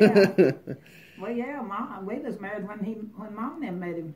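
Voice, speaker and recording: Noticeable background noise sits behind a woman with a fairly high pitch and ordinary pitch variation. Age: 80s+. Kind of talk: interview answer.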